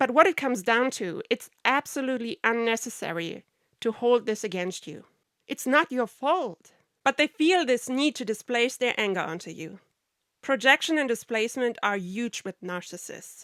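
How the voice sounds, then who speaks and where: A woman's high voice with a German accent, lively intonation and big swings in loudness at a moderate pace, in a dry, close, very clean recording with a silent background and no echo. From Germany. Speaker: podcaster on narcissistic abuse, film industry worker. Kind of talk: podcast monologue.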